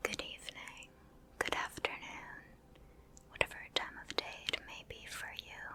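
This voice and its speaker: Someone whispers in a calm tone at a fairly slow pace. Noticeable background noise runs behind it. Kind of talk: ASMR gameplay ramble. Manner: whispered; soft-spoken, calm.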